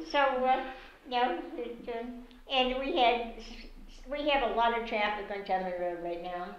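Lively intonation carries this fairly slow speech, broken by long, frequent pauses, with audible room echo. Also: woman, high pitch for a woman. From Massachusetts, Somerville; Massachusetts. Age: 90s. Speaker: retired teacher. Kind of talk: oral history interview. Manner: halting. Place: home room.

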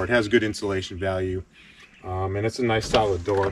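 A man with a fairly low pitch speaks at a moderate pace with fairly even intonation, in an ordinary speaking voice. The sound is dry with no echo, and there is light background noise. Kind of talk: casual vlog chat. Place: forest. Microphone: camera far.

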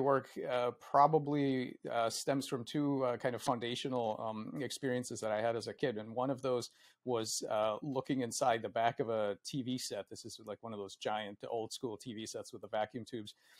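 Over a quiet background, a man speaks at a moderate pace with ordinary pitch variation and big swings in loudness. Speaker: guest. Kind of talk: interview answer. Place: home room. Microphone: earbuds.

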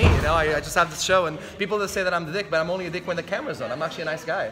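Extremely rapid male speech against clear background noise. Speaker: wrestler vlogger. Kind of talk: casual vlog chat. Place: gym. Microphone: phone near.

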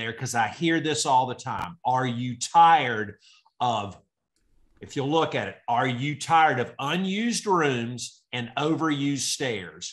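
A man talks with lively intonation against a quiet background. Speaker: real estate agent. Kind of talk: casual group discussion. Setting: video call. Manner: fast talker. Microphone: webcam.

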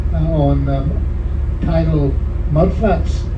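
A man speaks over noticeable background noise. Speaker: tour guide. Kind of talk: tour commentary. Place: bus. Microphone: pa.

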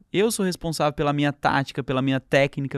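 Talking at a fairly quick pace in a normal speaking voice, a man has a fairly high pitch and ordinary pitch variation. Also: dry, close sound with no echo, very clean recording, silent background. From interior of São Paulo state, Brazil. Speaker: entrepreneur and author. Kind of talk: casual interview chat.

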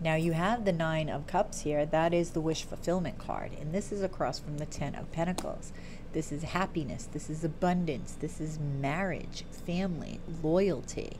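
A woman with a very deep, low pitch and fairly even intonation, at a moderate pace over noticeable background noise. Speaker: tarot reader. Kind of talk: tarot reading commentary. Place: home room. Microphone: earbuds.

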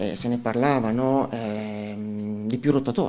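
The voice moves at a moderate pace with a dark, mellow tone. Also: man. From northern Italy, Como; northern Italy. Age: 40s. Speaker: local election candidate and lawyer; election candidate, lawyer. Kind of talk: radio interview. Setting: studio. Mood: earnest, persuasive. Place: studio. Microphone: studio mic.

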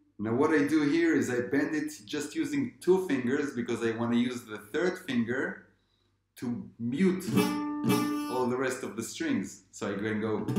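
A man at a fairly slow pace, with audible room echo and faint music in the background. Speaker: guitar teacher. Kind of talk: tutorial. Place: home room. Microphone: camera far.

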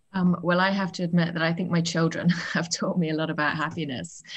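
A woman with a British accent speaks at a fairly quick pace, her voice fairly low and somewhat breathy. Her intonation stays fairly even against a quiet background. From UK. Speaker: author. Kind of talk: interview. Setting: video call. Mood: warm, reflective. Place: home room. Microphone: video call.

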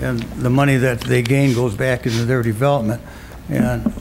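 Fairly quick speech from a man with an American accent, amid noticeable background noise and audible room echo. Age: 70s. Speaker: city council member. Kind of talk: council meeting debate. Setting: council chamber meeting.

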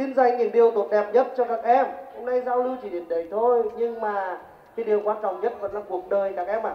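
Over audible room echo, a man speaks very fast at a high pitch with fairly even intonation. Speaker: company representative and alumnus speaker. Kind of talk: seminar talk to students. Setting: school hall with audience. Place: stage. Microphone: pa.

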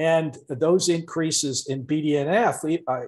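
The voice is somewhat breathy with ordinary pitch variation. The background is quiet. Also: man. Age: 60s. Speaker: professor; guest. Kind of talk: interview. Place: home room. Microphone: video call.

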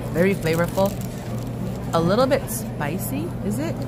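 A woman speaks over loud background noise, in a dry sound with no echo. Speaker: food vlogger. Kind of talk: casual vlog chat. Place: market. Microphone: phone near.

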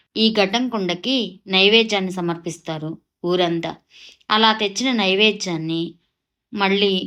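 An ordinary speaking voice comes through on a very clean recording with a silent background. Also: woman. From Andhra Pradesh, Kollipara near Guntur. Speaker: vlogger. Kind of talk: travel vlog narration.

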